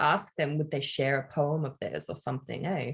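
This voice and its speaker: A woman speaks at a very fast pace in a somewhat breathy voice. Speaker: podcast host. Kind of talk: casual chat.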